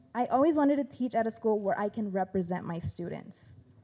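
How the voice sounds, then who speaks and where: With a Spanish accent, a woman talks at a fairly quick pace in a fairly high pitch and a dark, mellow tone. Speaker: teacher. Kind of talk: prepared speech.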